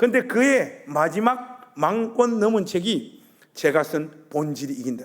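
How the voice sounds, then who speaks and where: With a Gyeongsang accent, a man speaks at a very slow pace in very wide pitch swings, with audible room echo. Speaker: guest preacher. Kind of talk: sermon. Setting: church. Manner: animated.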